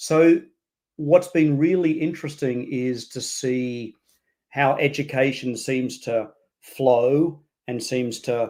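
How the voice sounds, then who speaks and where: A man with an Australian accent speaks at a medium pitch in a dark, mellow tone. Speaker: education leader and author. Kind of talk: interview.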